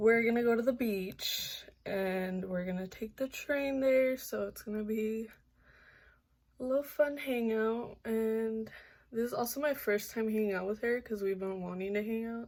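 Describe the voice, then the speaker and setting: A woman with a fairly high pitch is speaking. Her pace is moderate and her pitch varies in an ordinary way. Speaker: vlogger. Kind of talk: casual vlog. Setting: outdoors in public, on transit.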